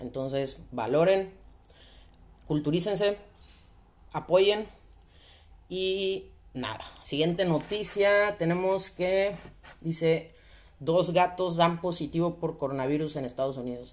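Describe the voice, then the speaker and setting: Speaking with a slight Sonora accent, a woman has a fairly low pitch and ordinary pitch variation. She talks at a very slow pace with long, frequent pauses. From Sonora, northern Mexico. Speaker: podcast host. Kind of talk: casual monologue.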